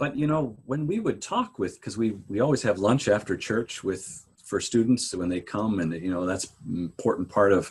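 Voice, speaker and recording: A man talks at a moderate pace in a fairly low, somewhat breathy voice. His intonation is lively. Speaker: pastor. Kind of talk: interview conversation.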